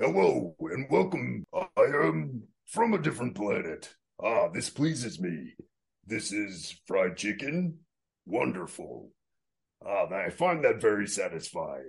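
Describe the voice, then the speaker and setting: A man talks at a fairly slow pace. His voice is a put-on character voice. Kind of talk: formal, stilted. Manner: stiff, theatrical, pleased.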